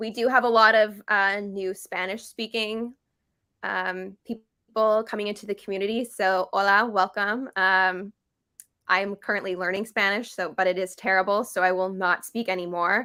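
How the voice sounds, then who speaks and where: On a very clean recording with a silent background, the voice is bright and sharp in tone, flat and monotone in intonation, and moderate in pace. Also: woman, medium pitch for a woman. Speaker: game team member co-hosting live stream. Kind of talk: live stream update. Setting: live stream.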